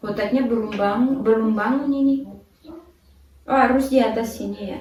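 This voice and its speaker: With a French accent, a woman speaks at a moderate pace in a fairly high voice with fairly even intonation, over noticeable background noise and audible room echo. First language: French (speaking Indonesian). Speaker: vlogger. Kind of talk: casual chat.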